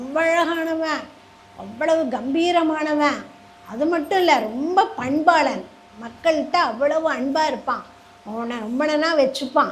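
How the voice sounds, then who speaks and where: Her pitch is high and her pitch variation ordinary. The woman is heard over noticeable background noise. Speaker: storyteller. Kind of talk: religious story discourse to a live audience. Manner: warm, graceful.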